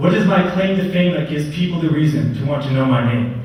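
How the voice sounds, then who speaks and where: Over noticeable background noise, a man with a fairly high voice talks at a fairly quick pace with ordinary pitch variation. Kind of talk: spoken word poetry performance. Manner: a little nervous.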